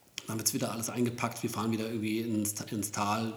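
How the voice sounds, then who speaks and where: A man's fairly low, flat monotone at a very fast pace. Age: 40s. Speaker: professional photographer, podcast co-host. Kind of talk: casual chat.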